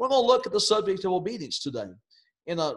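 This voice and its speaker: Very wide pitch swings mark this man's speech. The background stays quiet. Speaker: preacher. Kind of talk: sermon. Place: home room. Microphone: webcam.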